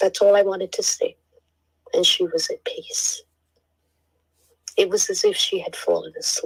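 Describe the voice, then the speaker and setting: A woman talks at a moderate pace with long, frequent pauses. The sound is dry and close, with no echo. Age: 60s. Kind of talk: casual chat.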